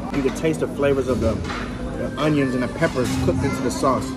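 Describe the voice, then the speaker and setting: A man talks while loud music fills the background. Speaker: food show host. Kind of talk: food review commentary. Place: cafe. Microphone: camera far.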